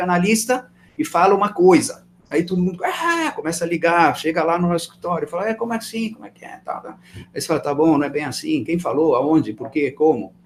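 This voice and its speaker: Speaking at a very fast pace, a man has a high pitch. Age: 60s. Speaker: real estate fund manager. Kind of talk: interview. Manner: animated.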